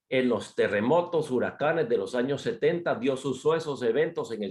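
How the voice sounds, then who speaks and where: A man speaks with a fairly high pitch. His voice swings very widely in pitch. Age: 60s. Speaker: missionary speaker. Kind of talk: sermon.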